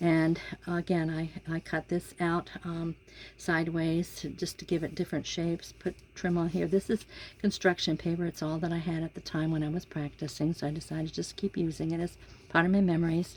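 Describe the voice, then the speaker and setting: Speaking at a fairly quick pace, a woman with a fairly low pitch keeps her intonation monotone and flat. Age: 70s. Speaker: crafter demonstrating handmade journal. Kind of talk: casual tutorial. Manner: halting, many fillers.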